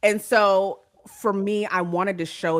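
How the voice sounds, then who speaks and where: On a very clean recording with a silent background, a woman speaks in an American accent. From California, San Bernardino. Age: 40s. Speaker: romance author. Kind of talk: interview.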